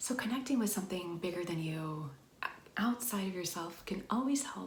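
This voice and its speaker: This woman has a plain, everyday voice at medium pitch. Her intonation is lively. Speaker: wellness and ASMR video creator. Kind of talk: ASMR-style soft-spoken talk to camera. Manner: gentle, warm, slow, reassuring.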